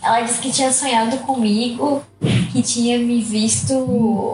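A woman's fairly high voice at a very slow pace, over noticeable background noise. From Arraial do Cabo, Rio de Janeiro state, Brazil. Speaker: podcast guest. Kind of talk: casual chat.

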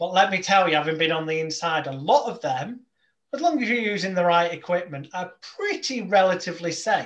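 Speaking with an English accent at a fairly quick pace, a man has a high pitch and ordinary pitch variation. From England. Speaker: hypnotist. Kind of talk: casual chat.

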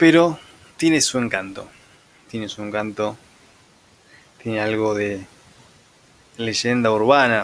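Speaking at a very slow pace with a Rioplatense accent, a man with a fairly low pitch uses ordinary pitch variation and leaves long, frequent pauses. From Argentina, Buenos Aires conurbano. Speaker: podcast host. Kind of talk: improvised solo monologue. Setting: home next to railway tracks.

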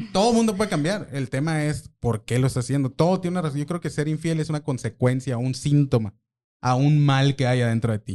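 At a fairly quick pace, a man speaks with a dark, mellow tone, a fairly high pitch, and lively intonation. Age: 40s. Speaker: social media marketer. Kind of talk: casual chat.

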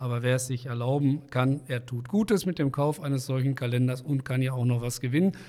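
A man's dark, mellow voice at a fairly quick pace, with fairly even intonation and hardly any pauses. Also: medium pitch for a man. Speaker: podcast host. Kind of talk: interview. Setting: studio. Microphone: large studio microphone.

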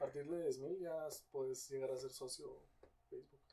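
The speaker uses a Guatemalan accent and keeps a moderate pace. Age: 20s. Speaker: content creator. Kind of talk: casual chat.

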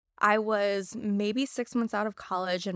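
A normal speaking voice from a woman with an American accent, medium in pitch, with fairly even intonation, on a very clean recording with a silent background and a dry, close sound free of echo. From Missouri. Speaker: marketing professional. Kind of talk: casual chat.

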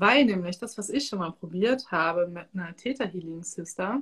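A woman speaks in a somewhat breathy voice on a very clean recording with a silent background. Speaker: podcast host and energy work coach. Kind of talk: casual live-stream interview. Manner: animated.

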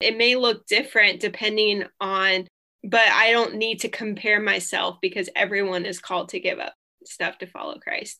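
A woman speaks at a medium pitch with a bright, sharp tone. Her intonation stays fairly even. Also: moderate pace. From third culture kid, missionary family. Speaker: podcast host. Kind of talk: casual interview.

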